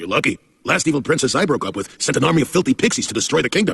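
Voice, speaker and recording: A cartoonish character voice at a very fast pace, with very wide pitch swings. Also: man, fairly high pitch for a man. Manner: hesitant, lots of uh.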